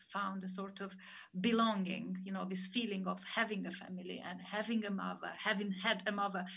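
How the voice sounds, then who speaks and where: Over audible room echo, a woman talks at a fairly quick pace and medium pitch in a monotone, flat way. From Moldova. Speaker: author. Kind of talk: author talk interview. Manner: halting.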